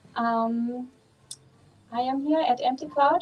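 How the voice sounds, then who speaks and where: A woman with a German accent, high in pitch, with ordinary pitch variation. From Germany. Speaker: Buddhist nun. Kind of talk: dharma talk. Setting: outdoors.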